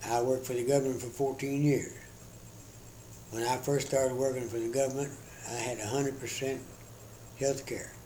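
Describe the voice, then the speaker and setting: A man at medium pitch speaks in a monotone, flat way with an American accent at a fairly quick pace, leaving long, frequent pauses amid audible room echo. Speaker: retired government employee. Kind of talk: interview. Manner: halting.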